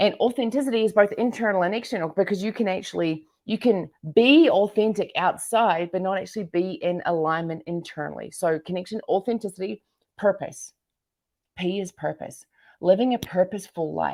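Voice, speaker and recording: In a New Zealand accent, a woman speaks in an animated tone. Her pace is fairly quick and her pitch varies in an ordinary way. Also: medium pitch for a woman. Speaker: entrepreneur and business coach. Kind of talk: interview.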